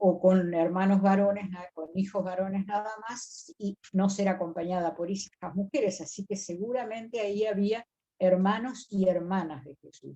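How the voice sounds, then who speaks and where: A woman with a dark, mellow tone and a somewhat breathy sound speaks at a fairly slow pace, with fairly even intonation and big swings in loudness. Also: medium pitch for a woman. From Río de la Plata region. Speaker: biblical scholar and lecturer. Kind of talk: lecture on biblical texts.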